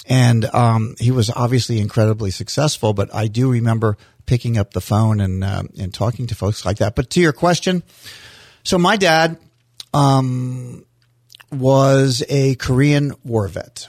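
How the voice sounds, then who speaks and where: A man with an American accent speaks at a fairly slow pace in a medium pitch. His is an ordinary speaking voice with ordinary pitch variation. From US Florida. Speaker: mayor. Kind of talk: casual interview chat. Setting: studio.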